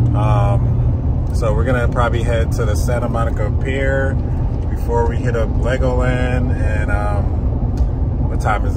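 Loud background noise under a man's dry voice with no echo. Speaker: family road trip vlogger. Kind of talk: casual vlog chat. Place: car. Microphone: phone near.

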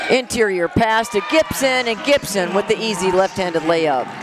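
A woman speaks at a medium pitch and a fairly slow pace, her pitch swinging very widely in an animated, excited tone. Noticeable background noise sits behind her. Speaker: basketball play-by-play announcer. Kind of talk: live sports commentary.

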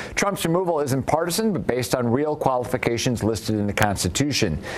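The voice moves at a fairly quick pace against noticeable background noise. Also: man. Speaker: news show host. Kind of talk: news segment reading out viewer rants and introducing callers. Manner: formal, brisk, even newsreader delivery.

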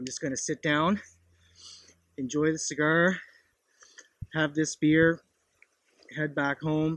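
A man speaks at a fairly slow pace. The sound is dry with no echo, over a quiet background. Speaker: hiker vlogger. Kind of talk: casual vlog chat. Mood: relaxed, content. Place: open country.

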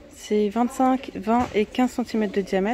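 A woman speaks with fairly even intonation. The sound is dry with no echo, over light background noise. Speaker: shopping vlogger. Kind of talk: casual vlog chat. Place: shop. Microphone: phone near.

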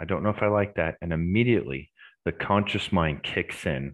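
A man talks at moderate speed, his pitch moving in an ordinary way, with little sound behind him. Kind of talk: Q&A explanation. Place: home room. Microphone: headset.

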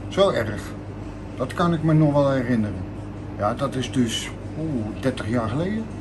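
The speaker moves at a fairly slow pace with lively intonation and long, frequent pauses, over noticeable background noise. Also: man, medium pitch for a man. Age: 50s. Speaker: shopkeeper. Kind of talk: interview. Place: shop.

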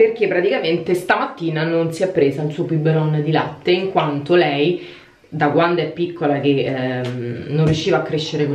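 A woman's very deep, low voice at a moderate pace, with light background noise and audible room echo. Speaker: vlogger mother. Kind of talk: casual vlog chat. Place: bathroom. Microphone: phone near.

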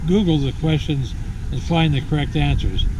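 A man speaks in a dry sound with no echo. Background noise is noticeable. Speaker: amateur radio hobbyist. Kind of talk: informative vlog explanation. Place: street. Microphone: phone near.

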